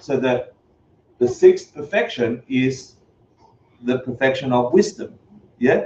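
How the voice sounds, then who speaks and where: A dark, mellow, somewhat breathy voice moves at a moderate pace with lively intonation. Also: man. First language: not English. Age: 50s. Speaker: Buddhist teacher. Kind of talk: lecture. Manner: animated.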